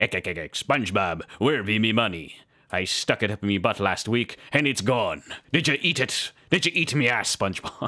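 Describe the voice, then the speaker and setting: A man does a cartoonish character voice at a medium pitch and a moderate pace. The recording is very clean, with a silent background. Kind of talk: cartoon voice impression.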